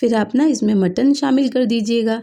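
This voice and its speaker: A woman's dark, mellow tone at a fairly slow pace. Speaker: homemaker cooking vlogger. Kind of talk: cooking vlog narration. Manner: casual, conversational with fillers.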